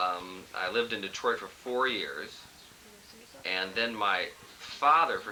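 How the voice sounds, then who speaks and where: A man with an American accent speaks at a fairly slow pace amid noticeable background noise and audible room echo. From Southern California, Los Angeles. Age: 20s. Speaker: lawyer. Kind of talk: casual interview. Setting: family reunion, on video camera. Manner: humorous, deadpan.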